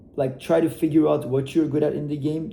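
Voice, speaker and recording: A man with a non-native accent speaks at a fairly quick pace in a dark, mellow tone with vocal fry. His intonation is fairly even, and there is audible room echo. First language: not English. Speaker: e-commerce entrepreneur. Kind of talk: motivational talk to camera. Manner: casual, hesitant with fillers.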